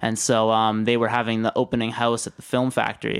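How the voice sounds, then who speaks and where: This man has a Western Canadian accent. His voice is at a medium pitch. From British Columbia, Canada (Maple Ridge, then Kelowna). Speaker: filmmaker. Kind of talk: casual interview.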